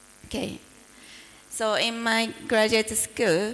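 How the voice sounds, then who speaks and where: A woman with a Japanese accent. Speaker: professor. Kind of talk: lecture. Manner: halting.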